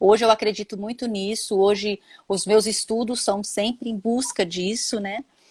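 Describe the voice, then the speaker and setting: A woman with a Minas Gerais accent, fairly high-pitched and somewhat breathy, at a moderate pace in a monotone, flat delivery, dry and close with no echo. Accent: mineiro Brazilian Portuguese. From Minas Gerais, Brazil. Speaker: holistic therapist, former economist. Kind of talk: live-stream interview chat.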